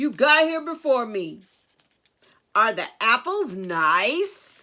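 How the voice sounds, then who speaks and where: This put-on character voice moves at a very slow pace. Its pitch swings very widely. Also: woman, high pitch for a woman. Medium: read story. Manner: sly, menacing.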